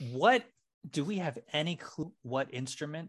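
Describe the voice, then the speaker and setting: A man with a plain, everyday voice speaks at a fairly high pitch with ordinary pitch variation, and the background is quiet. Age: 40s. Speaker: podcast co-host. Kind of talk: casual chat.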